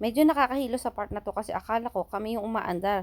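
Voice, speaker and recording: Her pitch sits fairly high. The woman rushes through her words at a very fast pace. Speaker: vlogger. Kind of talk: casual vlog narration. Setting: in a car at a car wash. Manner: animated.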